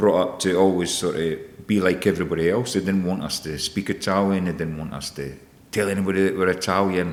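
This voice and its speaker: A man talks at a fairly quick pace with a Scottish accent. His pitch is very deep and low, and his intonation stays fairly even. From Scotland, Edinburgh area. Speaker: chef and business owner. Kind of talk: podcast interview. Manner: hesitant, many repetitions.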